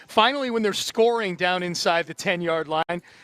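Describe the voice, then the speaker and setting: A man's high voice at a moderate pace with ordinary pitch variation, on a very clean recording with a silent background, dry and close with no echo. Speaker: radio play-by-play announcer. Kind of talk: sports radio game recap analysis.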